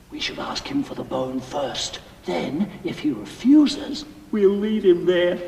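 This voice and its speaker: Putting on a character voice, a man speaks high-pitched at a fairly slow pace with very wide pitch swings, big swings in loudness and a clear echo. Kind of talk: amateur student stage acting. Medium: stage play. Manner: plaintive, short questions.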